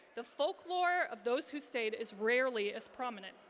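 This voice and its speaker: A woman with an American accent speaks with very wide pitch swings over noticeable background noise. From Iowa, US Midwest. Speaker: social entrepreneur and speaker. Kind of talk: conference talk. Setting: stage with audience. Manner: animated.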